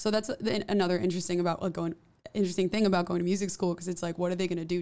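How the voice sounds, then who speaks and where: A woman with a New York accent talks very fast at a fairly low pitch. Her tone is dark and mellow, and her intonation stays fairly even. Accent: New York area American English. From New Jersey. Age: 20s. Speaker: musician; interview guest. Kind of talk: casual interview. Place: studio. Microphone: studio mic.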